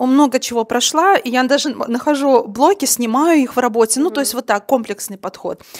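A woman speaks fairly quickly with ordinary pitch variation. She has an ordinary speaking voice. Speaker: women's coach, audience member. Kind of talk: question from the audience at a live talk. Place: hall. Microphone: handheld.

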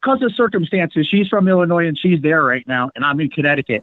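An excited voice in an American accent, with very wide pitch swings and hardly any pauses. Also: man. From US Northeast. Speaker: caller. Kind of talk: call-in question. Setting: phone call.

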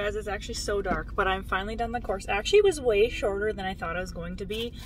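A woman talking at a very fast pace, dry sound with no echo, light background noise. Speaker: vlogger. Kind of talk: casual vlog chat. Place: car. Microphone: phone near.

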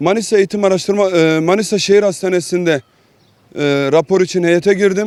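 Speaking at a high pitch, a man keeps his intonation fairly even. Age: 20s. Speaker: blind earthquake survivor. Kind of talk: news interview. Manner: hesitant, frequent fillers.

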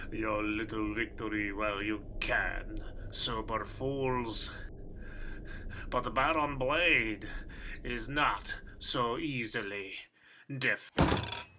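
A man with a medium pitch at a very slow pace, long, frequent pauses and clear background noise. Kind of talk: comic villain overacting. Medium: actual play. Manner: menacing, gloating.

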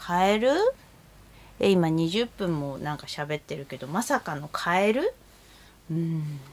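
A woman's fairly low voice in a relaxed tone, with lively intonation, big swings in loudness, a fairly slow pace and long, frequent pauses. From Japan. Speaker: kimono vlogger. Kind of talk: casual chat. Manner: chatty, relaxed, laughs often. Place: home room. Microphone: phone near.

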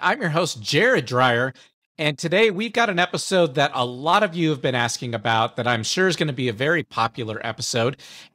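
A man talks at a fairly quick pace in a bright, sharp tone, his pitch swinging very widely over a quiet background. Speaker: podcast host. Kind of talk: podcast monologue. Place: home room. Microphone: studio mic.

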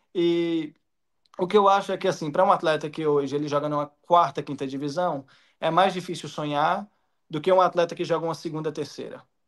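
A man talks at a fairly quick pace in a normal speaking voice. His pitch is fairly high, with fairly even intonation. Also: quiet background. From Minas Gerais, Brazil. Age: 20s. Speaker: professional footballer. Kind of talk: interview answer. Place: home room. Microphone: video call.

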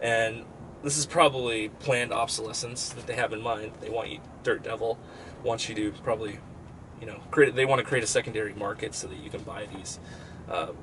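Over light background noise, a man talks at a fairly quick pace with fairly even intonation. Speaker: product reviewer. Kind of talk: casual product review. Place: home room. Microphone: webcam.

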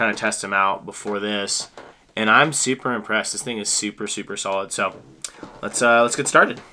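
A man with an unremarkable speaking voice talks at a fairly quick pace in a fairly low pitch. His intonation is fairly even, with light background noise behind him. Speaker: fly-tying channel host. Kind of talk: casual tutorial intro. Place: home room. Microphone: camera far.

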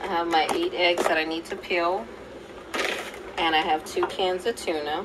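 The speech comes at a fairly slow pace over loud background noise. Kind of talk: casual cooking tutorial. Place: kitchen. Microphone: phone near.

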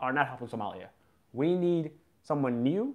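A man speaks with an American accent at a fairly high pitch. The background is quiet. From US, Boston. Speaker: YouTuber. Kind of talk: live stream chat. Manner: casual, unscripted. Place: home room. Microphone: phone near.

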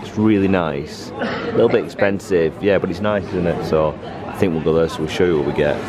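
A man delivers his words at a fairly quick pace with music in the background. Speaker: family vlogger. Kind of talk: casual vlog chat. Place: station. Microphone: phone near.

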